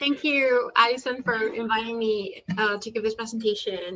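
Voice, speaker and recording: Fairly high in pitch, a woman speaks in a Spanish accent at a moderate pace. Her tone is bright and sharp, with fairly even intonation. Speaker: PhD student and poet giving a talk. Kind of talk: academic talk. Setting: video call. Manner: casual, with many fillers.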